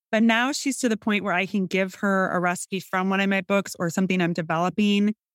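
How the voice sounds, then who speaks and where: A woman with a Midwestern accent speaks at a fairly quick pace in a medium pitch, with hardly any pauses, fairly even intonation and very even loudness, on a very clean recording with a silent background and a dry, close sound with no echo. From US Midwest, northern Illinois. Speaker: food writer and cookbook author. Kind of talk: casual interview chat.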